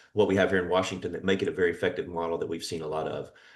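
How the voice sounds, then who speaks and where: This is a man speaking. He has an American accent. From US East Coast. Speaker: fire service official. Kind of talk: presentation at a virtual meeting. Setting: video call. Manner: fast; many fillers (uh).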